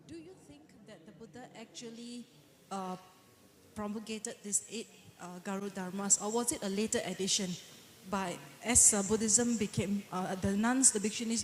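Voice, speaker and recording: The delivery is moderate in pace with fairly even intonation. Noticeable background noise can be heard. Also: woman. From Malaysia. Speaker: audience member asking a question. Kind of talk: audience question at conference.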